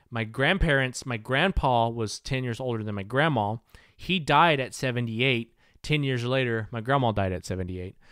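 A man with an American accent speaks in an ordinary speaking voice at a medium pitch and a moderate pace. His pitch varies in an ordinary way, and the recording is very clean with a silent background. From US South. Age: 30s. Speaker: podcast host. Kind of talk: casual chat.

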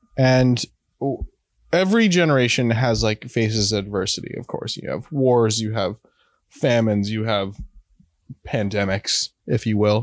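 The speaker talks at a fairly slow pace with long, frequent pauses and ordinary pitch variation, in a dry, close recording with no echo. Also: man, medium pitch for a man. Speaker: head of content at an NFT platform. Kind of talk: casual chat.

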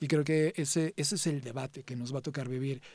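Fairly quick speech from a man with a dark, mellow tone, very clean recording, silent background. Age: 40s. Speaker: tech CEO and conference speaker. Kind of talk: interview.

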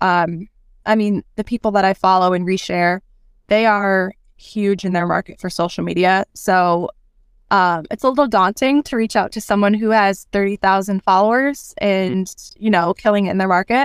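At a moderate pace, a woman speaks at medium pitch with an American accent. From Rochester, New York. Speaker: realtor. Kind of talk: casual podcast interview. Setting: remote podcast interview. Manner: conversational, hesitant with fillers.

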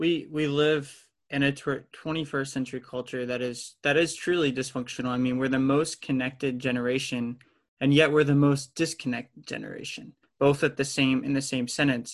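Against a quiet background, a man talks at a moderate pace in a fairly high, monotone, flat voice. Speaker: podcast host. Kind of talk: interview conversation.

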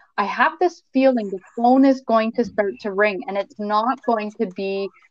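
A woman's fairly high, unremarkable speaking voice with a Canadian accent, ordinary pitch variation and a moderate pace. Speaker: mortgage broker. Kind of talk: casual interview.

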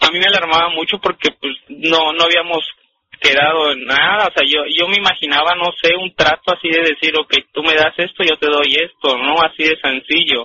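With a fairly high pitch, a man keeps a moderate pace and fairly even intonation. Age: 20s. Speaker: caller. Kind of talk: testimony. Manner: halting.

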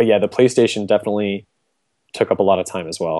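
A dark, mellow tone in a dry, close sound with no echo. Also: man. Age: 30s. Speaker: retro game collector. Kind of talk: casual chat.

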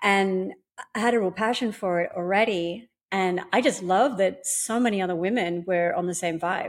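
Speaking with an Australian accent, a woman keeps a moderate pace and ordinary pitch variation. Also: medium pitch for a woman. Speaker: pole dance instructor and competition winner. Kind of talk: casual interview.

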